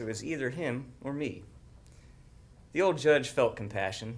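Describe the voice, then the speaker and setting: A man holds a moderate pace, his medium pitch varying in an ordinary way. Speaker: agriculture specialist. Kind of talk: poetry reading.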